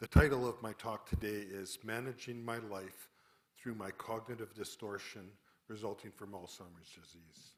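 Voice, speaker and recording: A man with a plain, everyday voice and a Canadian accent, fairly low pitch, fairly even intonation, moderate pace and big swings in loudness. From Calgary, Canada. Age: 60s. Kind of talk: public talk.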